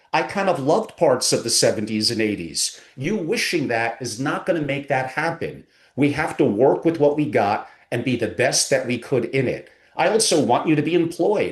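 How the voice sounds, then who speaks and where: A man with a fairly high pitch speaks at a moderate pace in an animated tone with lively intonation. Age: 60s. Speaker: family office advisor. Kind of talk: podcast interview.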